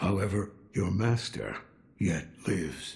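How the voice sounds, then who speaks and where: A man does a raspy, put-on character voice at a fairly low pitch. His pace is fairly slow. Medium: video game. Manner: laconic, wry.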